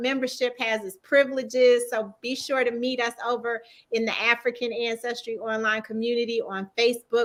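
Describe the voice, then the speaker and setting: With a Southern US accent, a woman talks at a moderate pace in a high, bright, sharp voice with monotone, flat intonation. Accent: Southern US twang. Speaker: talk show host. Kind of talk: interview wrap-up and promo.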